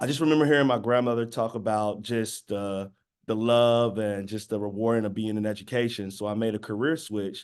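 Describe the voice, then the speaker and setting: Man in an American accent at a fairly low pitch, fairly even intonation, quiet background. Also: fairly quick pace. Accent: Southern twang, slight, comes up sometimes. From US South, Birmingham, Alabama. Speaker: educator, teacher pathway program founder. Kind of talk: panel presentation. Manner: casual, with many fillers.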